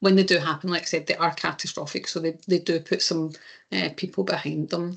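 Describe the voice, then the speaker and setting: A woman speaks in a Scottish accent. Her pace is fairly quick, and the background is quiet. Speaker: insurance claims presenter. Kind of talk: webinar presentation. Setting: online webinar. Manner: hesitant, many fillers.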